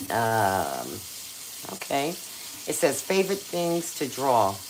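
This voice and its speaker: In a room with audible echo and noticeable background noise, a woman speaks at a very slow pace, her pitch swinging very widely. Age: 60s. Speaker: cooking and crafts YouTuber. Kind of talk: casual live-stream cooking chat. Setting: live stream on camera in a kitchen.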